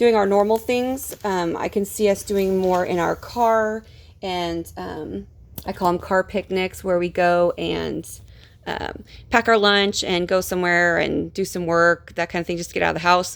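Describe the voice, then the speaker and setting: This woman has an ordinary speaking voice at medium pitch. The recording is very clean, with a silent background. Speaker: homeschooling mom vlogger. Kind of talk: casual show-and-tell vlog. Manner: relaxed, filler-heavy.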